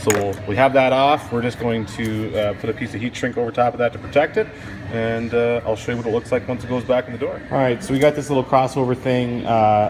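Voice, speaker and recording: A man's relaxed, medium-pitched voice with a Canadian accent, fairly quick and fairly even in intonation, over noticeable background noise. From Canada. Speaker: car audio installer. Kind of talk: casual chat; tutorial. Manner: casual, relaxed.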